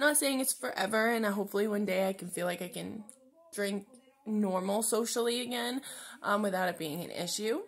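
Moving at a fairly quick pace, a woman speaks with ordinary pitch variation. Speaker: vlogger. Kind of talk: casual personal vlog. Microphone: phone near.

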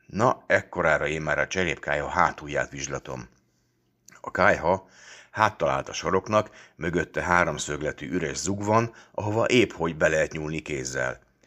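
At a moderate pace, a man with very deep, low pitch, ordinary pitch variation, vocal fry and a bright, sharp tone speaks against a quiet background. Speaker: audiobook reader. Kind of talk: literary audiobook reading, first-person story narration with a fatherly voice. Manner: warm, lively storytelling with mock-stern, teasing tones in the dialogue.

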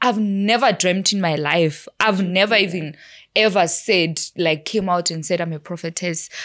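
A woman at a moderate pace with ordinary pitch variation, against a quiet background. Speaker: podcast guest. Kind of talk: interview answer. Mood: relaxed, laughing at times. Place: studio. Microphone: studio mic.

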